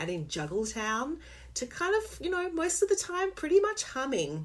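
With a normal speaking voice, a woman talks at a moderate pace using lively intonation. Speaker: author and podcaster. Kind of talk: casual interview chat.

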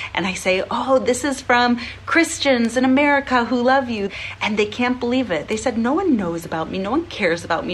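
A woman's high-pitched voice at a fairly quick pace, lively in intonation, over noticeable background noise. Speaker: charity leader and fundraiser. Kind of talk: charity appeal.

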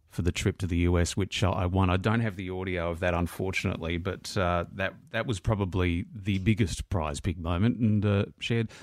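At a fairly quick pace with hardly any pauses, a man speaks in a very deep, low voice with fairly even intonation in a very clean recording with a silent background. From Melbourne, Australia. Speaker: radio presenter, podcast host. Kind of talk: podcast narration and interview.

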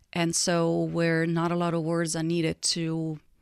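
A woman with an Italian accent, speaking at a very slow pace. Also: dry, close sound with no echo. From Italy. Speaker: nonprofit director. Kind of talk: interview conversation.

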